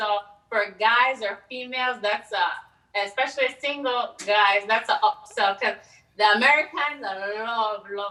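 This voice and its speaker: A woman's fairly high voice with ordinary pitch variation and a strong Belizean accent. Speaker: event co-host. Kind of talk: live virtual event hosting. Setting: virtual broadcast.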